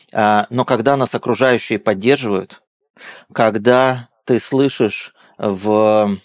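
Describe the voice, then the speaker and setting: A man's voice with ordinary pitch variation, on a very clean recording against a silent background. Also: dry, close sound with no echo. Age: 40s. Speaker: company founder, business consultant. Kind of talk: interview. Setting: studio.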